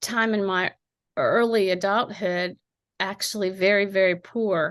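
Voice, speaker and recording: With a slight Appalachian accent, a woman talks at a fairly slow pace in a medium pitch with fairly even intonation. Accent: slight Appalachian twang. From Appalachian southeastern Ohio. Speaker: poet. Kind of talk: interview. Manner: hesitant, many fillers.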